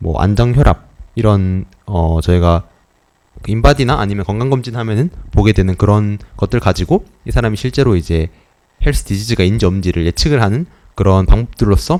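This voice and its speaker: Speaking at a fairly quick pace, a man with a fairly low voice uses ordinary pitch variation. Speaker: student presenter in a class. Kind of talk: lecture. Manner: fast; hesitant, many fillers.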